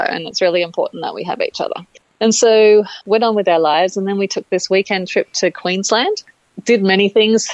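With an Australian accent, a woman talks at a moderate pace in a medium pitch and fairly even intonation, the sound dry and close with no echo. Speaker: interviewee sharing IVF story. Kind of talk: casual interview. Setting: phone call.

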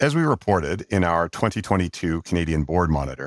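A man talks very fast in a very deep, low voice with vocal fry and lively intonation. The sound is dry and close, with no echo. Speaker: executive search partner interviewer. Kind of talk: formal interview.

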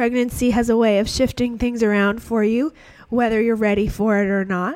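A woman speaks at a moderate pace with a fairly high pitch. Her intonation is fairly even and her tone slightly mellow.

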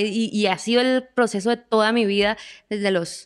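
A woman with a Colombian accent at a moderate pace, fairly even intonation, and a dry, close sound with no echo. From Colombia, Bucaramanga. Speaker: singer-songwriter. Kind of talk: interview conversation.

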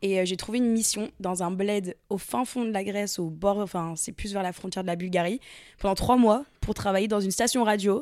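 A woman with a medium-pitched voice keeps an ordinary range of pitch and speaks at a moderate pace. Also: very clean recording, silent background. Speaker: content creator and podcaster. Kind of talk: casual chat.

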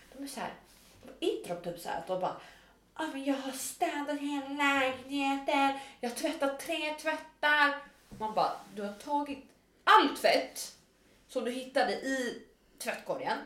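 Speaking at a fairly slow pace with long, frequent pauses, a woman uses a high voice and lively intonation, and the room echo is audible. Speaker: podcast co-host. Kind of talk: casual chat. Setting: own kitchen.

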